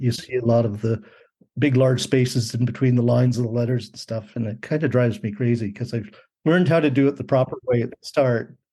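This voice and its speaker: Talking at a very fast pace, a man with medium pitch has a dark, mellow, somewhat breathy tone and fairly even intonation. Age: 60s. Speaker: graphic designer and artist. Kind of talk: interview. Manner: halting, many fillers.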